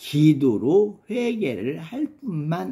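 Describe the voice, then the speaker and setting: The voice has a dark, mellow tone, moves through very wide pitch swings and goes at a very slow pace. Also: man. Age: 70s. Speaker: pastor. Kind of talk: sermon.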